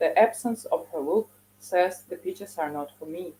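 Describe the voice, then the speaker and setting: This woman has a dark, mellow tone and a fairly low pitch. She speaks in a Russian accent at a moderate pace. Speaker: poet. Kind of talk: poetry reading.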